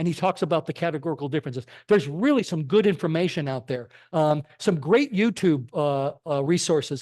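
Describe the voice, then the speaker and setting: Against a quiet background, a man with an American accent and a normal speaking voice talks at a moderate pace, his pitch fairly high with ordinary variation. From Connecticut, US. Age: 60s. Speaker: physician and lay speaker. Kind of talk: church talk.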